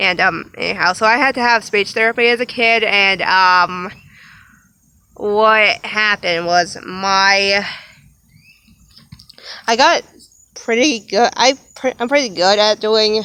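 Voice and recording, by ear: A woman's clear, smooth, bright and sharp tone, slow pace, long and frequent pauses, and ordinary pitch variation. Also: medium pitch for a woman.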